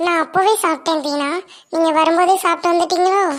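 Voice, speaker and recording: A squeaky, cartoonish character voice. It keeps a monotone, flat intonation. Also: woman, extremely high pitch for a woman, moderate pace. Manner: chatty, mixes English words.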